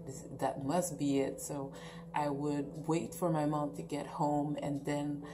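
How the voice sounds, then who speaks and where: A woman's very deep, low voice with a Quebec accent, flat and monotone at a fairly slow pace, with audible room echo and noticeable background noise. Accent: French Canadian accent in English. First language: French. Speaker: YouTuber. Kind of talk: storytime vlog. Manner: halting, many fillers and restarts.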